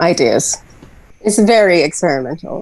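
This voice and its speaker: Background noise is noticeable here. A woman is talking. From Trinidad. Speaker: musician, solo artist. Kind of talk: podcast interview.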